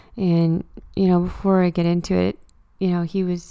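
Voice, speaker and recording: A woman with a Canadian Maritime accent speaks at a moderate pace and fairly low pitch, her dark, mellow tone held to a monotone, flat intonation. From Nova Scotia, Canada (Truro). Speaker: podcast host. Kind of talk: casual solo monologue. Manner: casual, halting with fillers.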